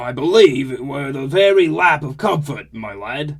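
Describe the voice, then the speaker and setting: Using a put-on character voice, a man speaks fairly high. His speed stays moderate. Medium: read story. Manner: playful, swaggering.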